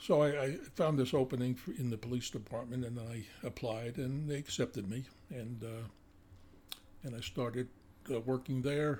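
A man speaks at a medium pitch and moderate pace, somewhat breathy, with ordinary pitch variation. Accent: American. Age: 80s. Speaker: retired police detective. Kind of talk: casual interview, testimony.

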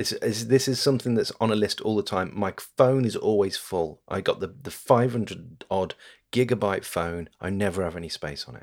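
A man with a fairly low pitch speaks at a moderate pace, his pitch varying in an ordinary way. His loudness swings widely, and the recording is very clean with a silent background. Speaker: podcast host. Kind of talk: casual chat.

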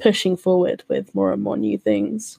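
In a British accent, a woman speaks at a moderate pace, the sound dry and close with no echo. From UK. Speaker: podcast co-host, church community member. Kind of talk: casual podcast chat.

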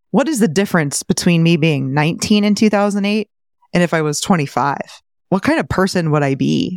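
This woman has a fairly low pitch, lively intonation and a fairly quick pace. It is an ordinary speaking voice, with a dry, close sound and no echo. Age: 30s. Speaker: real estate investor and finance podcaster. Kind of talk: interview.

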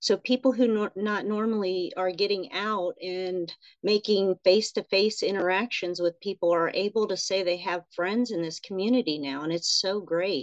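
A woman with an ordinary speaking voice talks at a moderate pace with hardly any pauses, her medium pitch varying in an ordinary way. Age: 40s. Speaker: nurse and writer. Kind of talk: casual chat.

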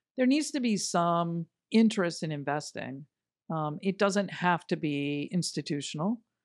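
A woman's normal speaking voice, fairly low in pitch, with lively intonation at a moderate pace and a dry, close sound with no echo. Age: 50s. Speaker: business executive. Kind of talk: interview.

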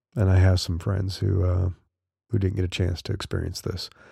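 A man's fairly low voice with a dark, mellow tone. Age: 50s. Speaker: podcast host. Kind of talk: solo podcast monologue. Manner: casual, with fillers.

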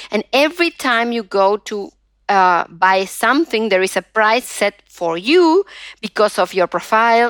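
Speaking at a fairly slow pace, a woman with a Spanish accent has a fairly high pitch. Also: dry, close sound with no echo. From Argentina. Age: 50s. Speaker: digital rights activist and professor. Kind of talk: interview. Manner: halting, many fillers.

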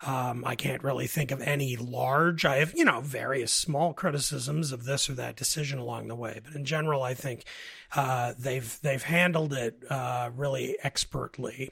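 A man's medium-pitched voice keeps fairly even intonation at a moderate speed. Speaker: political columnist and writer. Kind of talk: political debate podcast discussion. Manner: hesitant, repeats words often.

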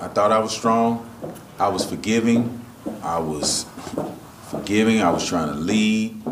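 Amid noticeable background noise, a man with a fairly low pitch talks at a fairly slow pace, with ordinary pitch variation and long, frequent pauses. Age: 40s. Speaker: church attendee. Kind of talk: testimony. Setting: stage with audience. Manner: halting.

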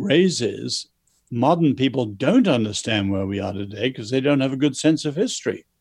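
A man with an English accent speaks at medium pitch with lively intonation. The recording is very clean, with a silent background. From China, then schooled in England. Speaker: author. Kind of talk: interview.

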